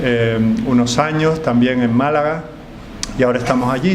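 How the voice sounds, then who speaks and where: Fairly slow, fairly even speech from a man, with noticeable background noise and audible room echo. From Canary Islands, Tenerife. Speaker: pastor. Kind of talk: sermon. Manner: frequent filler hesitations.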